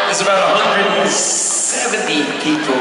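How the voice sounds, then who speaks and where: Loud music plays in the background, and the room adds audible echo. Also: man. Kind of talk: speech to concert audience. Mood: earnest, grateful. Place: stage. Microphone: pa.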